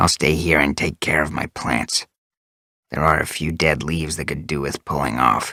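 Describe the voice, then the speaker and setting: A growling, put-on character voice at a very deep, low pitch and moderate pace. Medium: read story. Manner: intense, curt.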